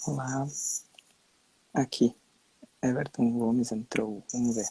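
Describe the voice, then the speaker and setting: Very slowly, a man talks at a medium pitch with fairly even intonation. His voice has a dark, mellow tone. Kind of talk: casual live stream chat. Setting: Instagram live video call.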